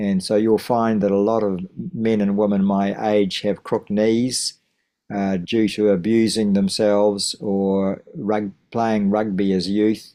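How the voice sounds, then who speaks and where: Speaking fairly slowly in a New Zealand accent, a man with a fairly low pitch and a dark, mellow tone keeps a monotone, flat delivery against a quiet background. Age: 70s. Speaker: teacher of wellbeing and masters runner. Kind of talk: interview. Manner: halting.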